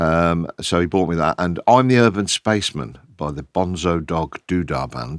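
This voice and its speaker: With an English Midlands accent, a man speaks at a fairly slow pace in a very deep, low voice with lively intonation, the sound dry and close with no echo in a very clean recording against a silent background. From Kettering, Northamptonshire, England. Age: 60s. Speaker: DJ and record label founder. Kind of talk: podcast interview.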